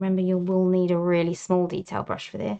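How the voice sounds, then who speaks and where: A soft-spoken woman with an English accent talks at a fairly quick pace, her medium-pitched voice dark and mellow in tone, relaxed, with fairly even intonation. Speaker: artist. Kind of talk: tutorial.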